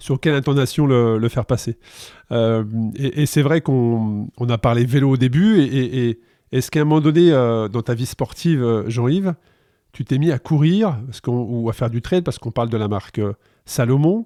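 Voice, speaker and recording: This man has a dark, mellow tone at a medium pitch, with ordinary pitch variation and a moderate pace. The sound is dry and close with no echo, over a quiet background. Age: 50s. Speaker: podcast host. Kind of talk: podcast interview.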